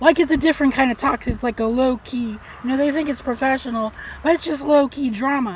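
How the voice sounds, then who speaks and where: A woman talks at a very fast pace and a high pitch. Her pitch varies in an ordinary way. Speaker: vlogger living in a car. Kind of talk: casual rant vlog. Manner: soft-spoken, not loud; rambling with filler words.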